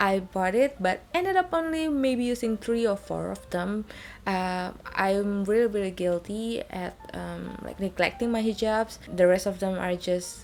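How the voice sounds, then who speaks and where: A woman with an Indonesian accent speaks at a fairly slow pace. Her pitch is medium, with ordinary variation. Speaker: beauty and fashion vlogger. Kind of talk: product review. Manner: halting, many fillers.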